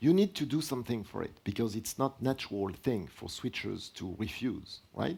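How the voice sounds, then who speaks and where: A man's French-accented speech at a moderate pace with very wide pitch swings, on a very clean recording with a silent background. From France. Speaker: product line director presenting at a tech seminar. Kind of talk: technical lecture with Q&A.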